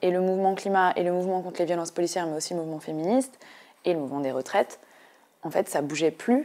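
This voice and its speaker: A woman speaks at medium pitch. Her tone is dark and mellow. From eastern France, Ain; eastern France. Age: 20s. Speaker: political activist and candidate; election candidate. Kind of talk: interview; interview answer. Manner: hesitant, many filler sounds. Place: studio. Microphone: lapel.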